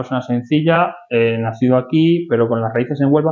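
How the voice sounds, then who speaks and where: Using a plain, everyday voice, a man talks at a fairly quick pace and medium pitch with fairly even intonation. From Spain, Madrid. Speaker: podcast host, architect and real estate consultant. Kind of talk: interview. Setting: office.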